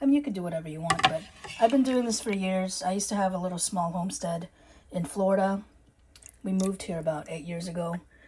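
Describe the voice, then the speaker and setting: A woman with a slight Filipino accent talks at a very fast pace, her pitch medium with ordinary variation. Noticeable background noise runs beneath her. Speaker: urban homesteading vlogger. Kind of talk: casual vlog talk to camera. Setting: home kitchen.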